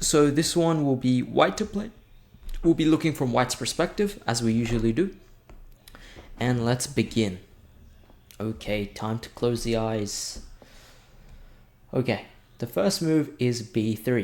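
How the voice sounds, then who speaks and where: At a fairly slow pace, a man with a medium pitch speaks with lively intonation and long, frequent pauses. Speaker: chess teacher. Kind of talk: tutorial.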